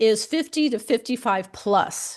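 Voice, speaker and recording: A woman with an American accent talks in a normal speaking voice at a fairly high pitch. Her intonation is lively, and the background is quiet. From United States. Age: 60s. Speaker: career coach for people over fifty. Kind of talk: podcast interview.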